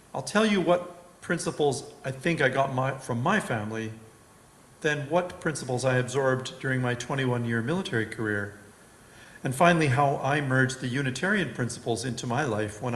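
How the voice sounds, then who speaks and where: A man with a medium pitch talks at a fairly quick pace with lively intonation. Audible room echo colors the recording. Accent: Canadian. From Western Canada. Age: 60s. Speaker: lay speaker. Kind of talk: sermon.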